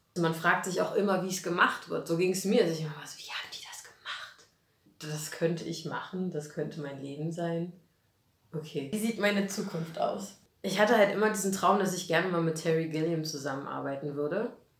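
Delivered at a moderate pace with an animated tone, ordinary pitch variation and big swings in loudness, the voice carries audible room echo. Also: woman, fairly low pitch for a woman. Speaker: actress and puppeteer; actress. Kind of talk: casual interview. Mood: cheerful, animated. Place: studio.

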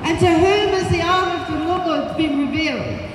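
A woman speaks at an extremely high pitch amid noticeable background noise and audible room echo. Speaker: preacher. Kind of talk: sermon. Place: street. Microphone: camera far.

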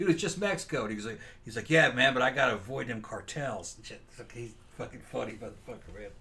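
A man at medium pitch talks at a very fast pace with lively intonation. His loudness swings widely. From US South, Mississippi Delta; Mississippi. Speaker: podcast co-host. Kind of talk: casual chat. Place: home room.

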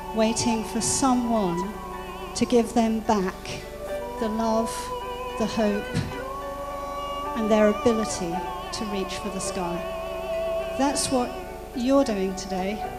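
Clear music plays in the background as the voice moves at a fairly slow pace. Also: woman. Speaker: charity speaker. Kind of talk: charity appeal speech at an event. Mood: earnest, inspiring. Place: hall. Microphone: handheld.

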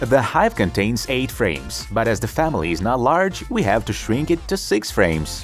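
Music plays in the background as the speaker keeps a moderate pace with hardly any pauses. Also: man. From Ukraine. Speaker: DIY experiment video host. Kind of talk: documentary-style voice-over narration.

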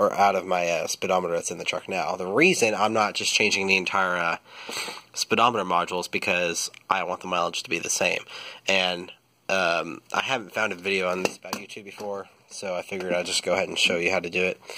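Here a man talks at a very fast pace in a very deep, low pitch. His tone is bright and sharp, and his intonation is monotone and flat. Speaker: truck owner, DIY mechanic. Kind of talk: casual how-to tutorial. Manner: hesitant, many fillers.

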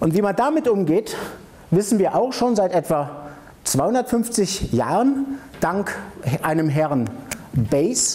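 A man speaks fairly slowly in a high voice with a dark, mellow tone and big pitch swings. There are few pauses and faint background noise.

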